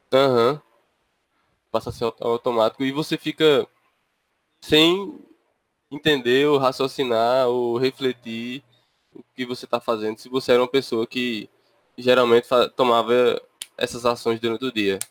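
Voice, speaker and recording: At a moderate pace and medium pitch, a man talks with fairly even intonation, big swings in loudness and long, frequent pauses, in a dry, close sound with no echo. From interior of Paraíba, Brazil. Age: 20s. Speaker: podcast co-host, software engineering master's student. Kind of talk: casual chat.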